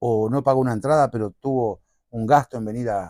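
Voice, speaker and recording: The tone is dark and mellow, moving at a moderate pace. The sound is dry and close, with no echo. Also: man. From Uruguay, Montevideo. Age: 50s. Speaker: payador (improvising folk poet-singer). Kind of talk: interview conversation.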